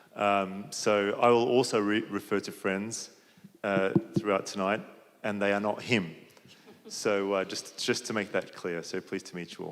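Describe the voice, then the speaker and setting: A man with an Australian accent speaks at a moderate pace. His voice is fairly low, with fairly even intonation. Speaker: panelist. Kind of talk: panel discussion.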